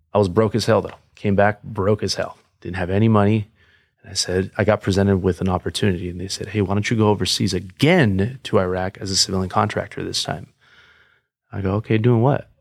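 In a very clean recording with a silent background, a man speaks with an American accent in a normal speaking voice. His pitch is fairly low, his intonation fairly even, and his pace fairly quick. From Los Angeles area, California. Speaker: police officer and Marine veteran. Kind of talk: casual chat.

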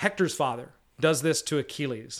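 In a very clean recording with a silent background, a man with a fairly high pitch speaks at a moderate pace. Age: 40s. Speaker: comic book podcast host. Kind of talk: casual chat. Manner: animated.

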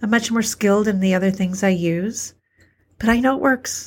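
On a very clean recording with a silent background, a woman speaks at a moderate pace. Her voice is somewhat breathy and fairly high, with fairly even intonation. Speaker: homeopathic practitioner and podcast host. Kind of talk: solo spoken reflection.

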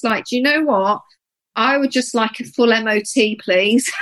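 The tone is bright and sharp. Pitch rises and falls in an ordinary way. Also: woman. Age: 50s. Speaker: podcast co-host, menopause coach. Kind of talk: casual chat.

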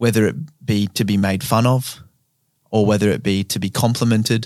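With an Australian accent, a man talks at a moderate pace with medium pitch and fairly even intonation on a very clean recording with a silent background. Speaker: comedian and podcast host. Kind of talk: casual chat.

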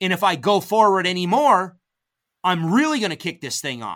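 A man speaks in a raised, projected voice with a bright, sharp tone at a high pitch. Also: very clean recording, silent background. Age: 50s. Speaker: wildlife biologist and hunting guide. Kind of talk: casual storytelling interview. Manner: talkative.

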